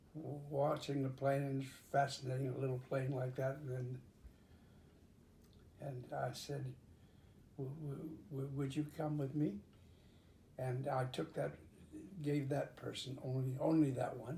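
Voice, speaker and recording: At a very slow pace broken by long, frequent pauses, a man speaks in a dark, mellow, somewhat breathy tone, his medium pitch held flat and monotone. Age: 80s+. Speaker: pilot. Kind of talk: interview answer.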